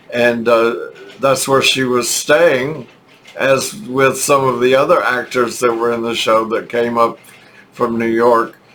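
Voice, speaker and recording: The speech moves at a fairly slow pace with fairly even intonation amid noticeable background noise. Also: man, medium pitch for a man. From Texas. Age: old. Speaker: YouTuber telling life stories. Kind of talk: storytelling monologue. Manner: halting, many fillers.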